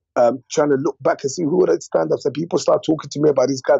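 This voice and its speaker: A man with a London accent talks at a very fast pace. Music plays in the background. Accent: London English with Congolese roots. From West London, England (born DR Congo, moved at eight). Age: 30s. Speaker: comedian. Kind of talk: casual interview chat. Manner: animated, with frequent fillers and repetitions.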